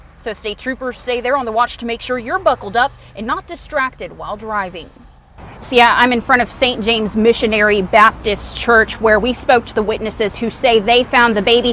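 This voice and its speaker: A woman's voice comes through with big swings in loudness. Noticeable background noise runs behind her. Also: ordinary pitch variation. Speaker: TV news anchor and reporter. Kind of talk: TV news field report. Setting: outdoors.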